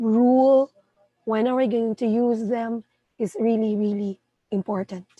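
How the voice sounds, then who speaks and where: Music plays in the background as a woman speaks at a fairly high pitch, with a dry, close sound and no echo. She talks at a fairly slow pace with fairly even intonation and long, frequent pauses. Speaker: English teacher. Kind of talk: tutorial. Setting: live stream.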